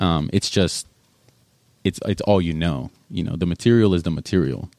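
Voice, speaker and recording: A man talks with an American accent and ordinary pitch variation. The sound is dry and close, with no echo. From Arizona and Alabama, US. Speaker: Marine recruiter. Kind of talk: casual interview.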